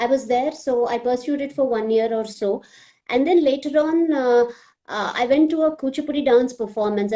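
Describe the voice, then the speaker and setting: A woman with a Telugu accent, high in pitch, with lively intonation and a fairly quick pace. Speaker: classical dancer and social media page admin. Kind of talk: live video chat.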